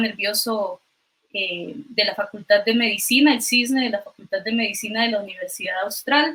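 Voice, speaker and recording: A woman with a Costa Rican accent speaks at a moderate pace, her fairly high pitch showing ordinary variation. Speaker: physician and doctoral researcher. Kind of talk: online science talk. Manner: hesitant, many fillers.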